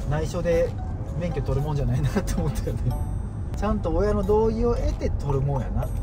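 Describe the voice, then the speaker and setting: A man talks at a fairly quick pace while clear music is heard in the background. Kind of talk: casual vlog chat. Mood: nostalgic, laughing storytelling. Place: car.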